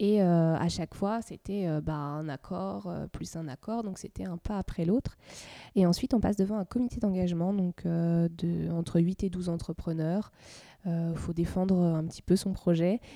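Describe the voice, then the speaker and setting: Over a very clean recording with a silent background, a woman speaks fairly slowly in a fairly low pitch with a dark, mellow tone and ordinary pitch variation. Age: 30s. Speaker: nursery founder and pediatric nurse. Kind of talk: interview.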